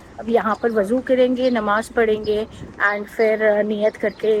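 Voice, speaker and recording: Very slowly, a woman speaks at a fairly high pitch with fairly even intonation. Noticeable background noise is present. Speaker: travel vlogger. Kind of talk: casual vlog narration.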